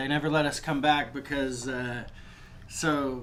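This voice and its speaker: A man with an American accent speaks at medium pitch amid noticeable background noise and audible room echo. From Toledo, Ohio, US Midwest. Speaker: rapper. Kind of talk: casual chat.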